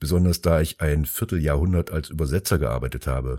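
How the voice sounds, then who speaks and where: A man's very deep, low voice with a dark, mellow tone and vocal fry, at a fairly quick pace with ordinary pitch variation, in a dry, close sound with no echo. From Germany, Taunus near Frankfurt. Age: 50s. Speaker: artist. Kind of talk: monologue. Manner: loud.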